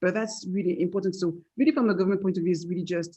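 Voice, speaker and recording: A woman speaks with a French accent at a fairly low pitch. Her tone is dark and mellow, and her intonation is fairly even. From France. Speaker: tech entrepreneur. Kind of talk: panel discussion. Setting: webinar video call.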